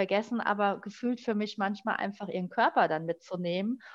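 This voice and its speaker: Her pitch is medium with ordinary variation as this woman uses an unremarkable speaking voice. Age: 40s. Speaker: life coach, formerly in travel industry. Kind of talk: personal story in interview.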